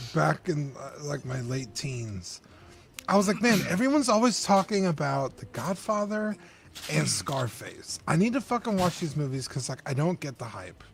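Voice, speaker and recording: At a moderate pace, a man with a fairly high, somewhat breathy voice makes very wide pitch swings and big swings in loudness. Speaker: collectibles stream co-host. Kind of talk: casual chat. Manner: hard to understand.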